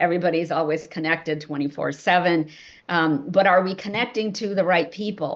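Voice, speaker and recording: Fairly even intonation runs through a plain, everyday voice. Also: woman. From India, moved to US at nine. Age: 60s. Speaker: novelist. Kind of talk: Q&A session answer.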